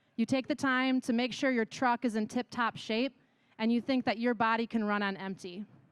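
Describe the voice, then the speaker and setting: A woman with a Wisconsin accent talks at a fairly quick pace in a fairly high pitch, her tone animated. The recording is very clean with a silent background and a dry, close sound with no echo. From Wisconsin, US Midwest. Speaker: yoga instructor and wellness business owner. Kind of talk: conference talk.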